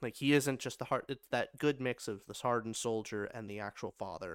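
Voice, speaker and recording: With an ordinary speaking voice, a man talks at a fairly quick pace with ordinary pitch variation, in a very clean, dry, close recording with a silent background and no echo. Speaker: podcast co-host and film reviewer. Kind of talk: casual movie review chat.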